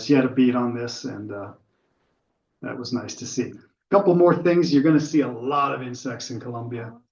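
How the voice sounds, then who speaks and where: A man with a normal speaking voice talks at a fairly quick pace, with ordinary pitch variation and big swings in loudness. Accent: American. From US, Pittsburgh area. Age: 60s. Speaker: birder giving a club talk. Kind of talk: slideshow talk with Q&A. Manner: casual, filler-heavy.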